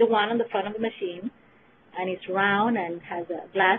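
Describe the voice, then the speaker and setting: A woman with a Spanish accent at a moderate pace, over noticeable background noise. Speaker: clinical research trainer. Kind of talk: webinar presentation. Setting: webinar.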